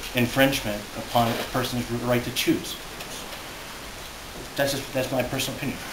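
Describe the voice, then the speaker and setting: A man is heard against noticeable background noise. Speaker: public witness. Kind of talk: testimony answering questions. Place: meeting room. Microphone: camera far.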